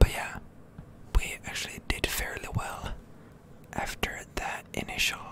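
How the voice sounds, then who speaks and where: Someone whispers at a fairly slow pace, leaving long, frequent pauses. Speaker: ASMR gaming content creator. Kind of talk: ASMR gaming commentary, whispered. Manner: whispered, soft-spoken.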